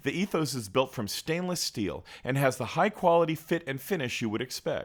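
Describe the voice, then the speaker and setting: Using vocal fry and very wide pitch swings, a man talks at a moderate pace in a very clean recording with a silent background. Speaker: YouTube reviewer. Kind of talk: scripted narration. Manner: smooth, measured.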